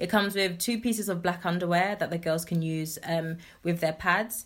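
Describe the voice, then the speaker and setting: Heard in a very clean recording with a silent background, a woman with a London accent speaks at a fairly low pitch with ordinary pitch variation. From southeast London. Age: 20s. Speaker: nonprofit founder. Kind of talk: interview.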